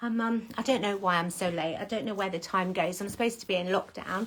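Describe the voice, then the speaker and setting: A woman with an English accent at a fairly quick pace, over noticeable background noise. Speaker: salon owner. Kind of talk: casual chat. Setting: social media livestream. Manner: animated; whispering at times.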